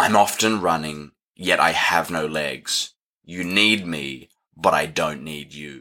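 A man puts on a booming character voice, very deep and raspy. He speaks fairly slowly, with big swings in loudness.

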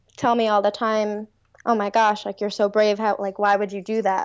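Her voice is fairly high-pitched, and the woman speaks with an American accent. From US Northeast (Long Island, New York). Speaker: music therapist. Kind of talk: casual interview. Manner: halting, many fillers.

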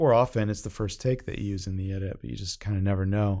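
In a very clean recording with a silent background, a man with an ordinary speaking voice talks at a fairly quick pace and fairly low pitch, with fairly even intonation. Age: 40s. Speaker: commercial director and production company founder. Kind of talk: interview.

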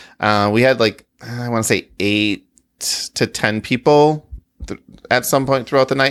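A man with a plain, everyday voice at a fairly slow pace, the sound dry and close with no echo. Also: medium pitch for a man. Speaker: podcast co-host. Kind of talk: casual chat. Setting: online live recording with Discord audience. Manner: excitable.

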